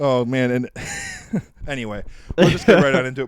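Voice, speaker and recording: A medium-pitched man talks very fast, with noticeable background noise around him. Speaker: podcast co-host. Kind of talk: casual chat. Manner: loud; animated.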